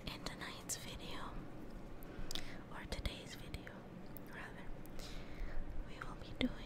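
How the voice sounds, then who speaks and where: Loud background noise accompanies a fairly slow voice with a dry sound and no echo. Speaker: ASMR creator. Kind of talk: ASMR soft-spoken narration.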